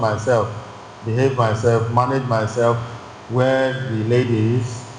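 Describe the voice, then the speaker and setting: The speech comes at a fairly slow pace in a flat monotone. There is audible room echo and noticeable background noise. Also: man. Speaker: church teacher. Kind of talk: bible class teaching. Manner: loud; halting, repetitive phrasing.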